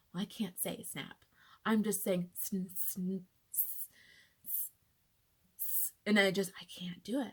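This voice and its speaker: A woman's somewhat breathy, medium-pitched voice at a very slow pace, with fairly even intonation and long, frequent pauses. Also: big swings in loudness. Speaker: patient sharing personal illness story. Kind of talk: personal testimony vlog. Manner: casual, filler-heavy.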